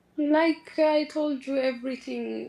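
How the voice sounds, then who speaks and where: At a very slow pace, a woman talks in a non-native accent. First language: not English. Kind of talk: casual chat. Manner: halting.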